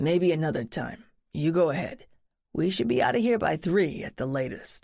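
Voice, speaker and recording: A put-on character voice, raspy and middle in pitch, moves at a moderate pace. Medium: read story. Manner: measured, dry, reserved.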